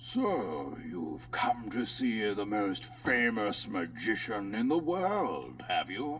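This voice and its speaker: A put-on character voice speaks at a very slow pace with hardly any pauses. Clear background noise can be heard. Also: man. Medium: read story. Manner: boastful, proud.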